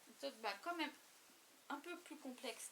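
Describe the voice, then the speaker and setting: At a fairly quick pace, a woman projects a raised voice with a bright, sharp tone and ordinary pitch variation. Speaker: crafting YouTuber. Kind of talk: casual show-and-tell vlog. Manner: halting, many hesitations.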